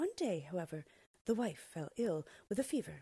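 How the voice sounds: This is a natural reading voice. The words are read through without interruption.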